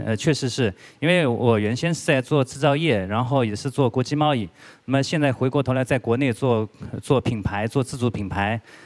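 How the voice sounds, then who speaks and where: A man moves along at a fairly quick pace, his pitch varying in an ordinary way. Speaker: guest lecturer. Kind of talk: lecture. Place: hall. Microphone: handheld.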